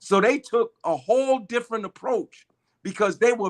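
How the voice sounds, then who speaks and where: A man talks in an animated tone, and the sound is dry and close with no echo. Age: 60s. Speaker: activist and political organizer. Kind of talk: interview.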